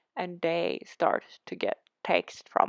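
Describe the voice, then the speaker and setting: In a Swedish accent, a woman speaks at a very slow pace, with a dry, close sound and no echo. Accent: Swedish accent, self-conscious about it. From Sweden. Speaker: Sims building YouTuber. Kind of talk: casual chat over a speed build video. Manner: hesitant, many fillers and restarts.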